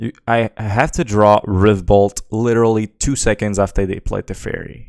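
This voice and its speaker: This voice has a Quebec accent and moves at a moderate pace with fairly even intonation. The recording is very clean with a silent background, and the sound is dry and close with no echo. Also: man. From Quebec, Canada. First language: French. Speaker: game streamer. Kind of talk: live gameplay commentary. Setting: live stream. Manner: casual, hesitant with fillers.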